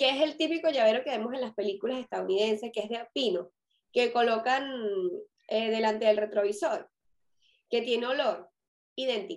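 A woman with a Venezuelan accent talks at a moderate pace and a fairly high pitch, with ordinary pitch variation. She leaves long, frequent pauses. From Venezuela (Caracas). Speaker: fashion consultant and podcast co-host. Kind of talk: casual chat.

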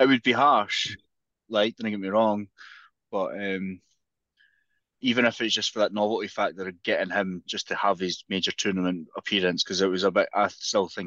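A man with a Scottish accent speaks fairly quickly at a fairly low pitch, with ordinary pitch variation. The sound is dry and close with no echo, over a quiet background. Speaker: football podcast co-host. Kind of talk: casual chat.

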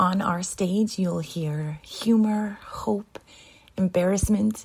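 Dark, mellow tone from a woman, somewhat breathy and fairly low in pitch. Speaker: show announcer. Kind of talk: scripted intro narration.

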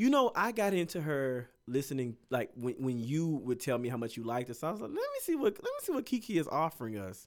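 On a very clean recording with a silent background, a man talks at a fairly quick pace in a fairly high pitch, his voice making very wide pitch swings. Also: hardly any pauses. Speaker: podcast co-host. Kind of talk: casual chat. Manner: loud.

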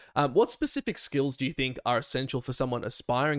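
At a very fast pace, a man with an Australian accent speaks in a very clean recording with a silent background. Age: 20s. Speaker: podcast host and streamer. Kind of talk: casual chat.

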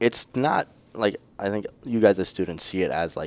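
Recorded very cleanly over a silent background, a man with an Upper Midwest accent talks with ordinary pitch variation in a dry, close sound with no echo. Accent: Upper Midwest (Minnesota). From northern Minnesota. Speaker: student teacher. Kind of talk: casual interview.

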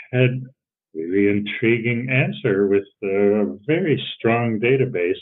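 This is a man speaking. He has a Midwestern accent. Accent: American Midwest. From US Midwest, Cleveland. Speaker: social psychology professor. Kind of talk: interview conversation. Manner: halting.

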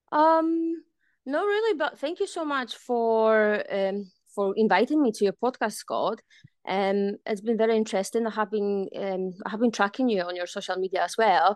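A woman with a Polish accent speaks at a moderate pace in a fairly high pitch, her intonation lively, the sound dry and close with no echo against a quiet background. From Poland. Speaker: fitness instructor and boxing coach. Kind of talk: interview. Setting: video call.

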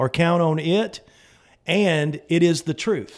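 In a very clean recording with a silent background, a man speaks with a Southern US accent at a high pitch and a fairly slow pace. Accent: Southern American. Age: 50s. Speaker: pastor. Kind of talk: radio talk show.

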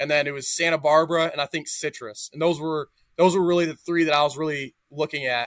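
Speaking at a very fast pace, a man with a fairly high pitch and fairly even intonation comes through in a very clean recording, silent in the background, with a dry, close sound and no echo. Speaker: college football player. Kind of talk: casual interview.

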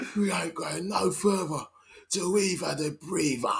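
A man's put-on character voice in a Cockney accent, pitched high, at a moderate pace. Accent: East End Cockney. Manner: gruff, complaining.

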